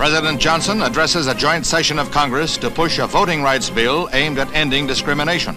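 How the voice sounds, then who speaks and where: A man talks, his intonation fairly even. Behind him, music can be heard. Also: fairly quick pace, very even loudness. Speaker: newsreel narrator. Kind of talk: 1960s newsreel narration. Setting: archival film soundtrack, recorded 1965.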